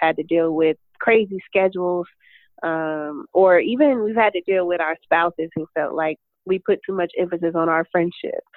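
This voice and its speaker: A woman with an American accent speaks in an unremarkable speaking voice at a moderate pace. Her pitch is fairly low, with fairly even intonation. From Detroit, Michigan. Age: 30s. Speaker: author and entrepreneur. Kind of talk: podcast interview.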